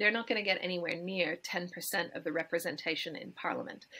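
Quick-paced and bright, a woman with an Australian accent speaks in a sharp tone. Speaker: climate campaigner and democracy activist. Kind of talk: interview answer. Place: home room. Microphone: webcam.

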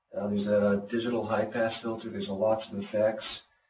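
Through noticeable background noise, a man with a fairly low pitch speaks at a moderate pace. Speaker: synthesizer designer presenting his own instrument. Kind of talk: product demonstration. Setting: low-quality video recording with somewhat degraded audio. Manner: monotone, subdued; informal, explanatory, with filler words. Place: studio.

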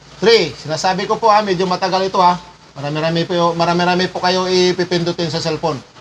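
With a high pitch, a man speaks at a very fast pace with fairly even intonation over light background noise. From Philippines. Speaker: power tools technician and live streamer; power tool trainer. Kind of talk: livestream tutorial. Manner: casual, with many fillers. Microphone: sound distorted, setup changed; lapel.

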